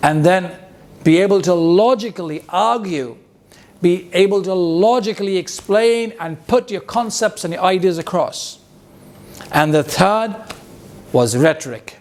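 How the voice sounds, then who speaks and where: A man with a high pitch speaks in an animated tone at a fairly slow pace, with ordinary pitch variation. Long, frequent pauses break his speech, and background noise is noticeable. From India, Bihar. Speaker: public speaking coach. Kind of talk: motivational talk.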